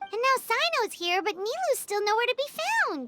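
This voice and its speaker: Someone puts on a squeaky character voice at an extremely high pitch. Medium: video game.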